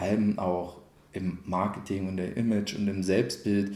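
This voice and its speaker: A man talks at a fairly slow pace and a fairly low pitch. His tone is dark and mellow, with audible room echo. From Cottbus, Brandenburg (Lusatia). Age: 30s. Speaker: mayoral candidate. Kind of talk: interview.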